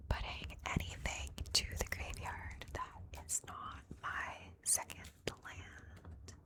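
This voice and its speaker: A woman whispering at a very slow pace, with big swings in loudness and noticeable background noise. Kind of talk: ASMR card game gameplay commentary. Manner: whispered, soft-spoken.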